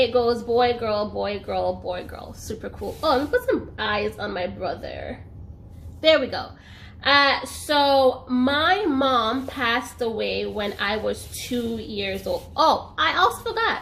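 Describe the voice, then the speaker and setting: Audible room echo surrounds the voice. A woman talks at a very slow pace. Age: 20s. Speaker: YouTuber. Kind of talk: personal story vlog. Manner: casual, chatty.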